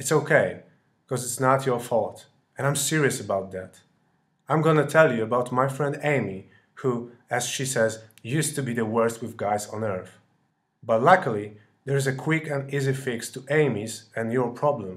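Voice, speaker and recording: Speaking at a moderate pace with a European accent, a man at medium pitch sounds somewhat breathy, with ordinary pitch variation and long, frequent pauses. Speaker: dating coach. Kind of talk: sales pitch.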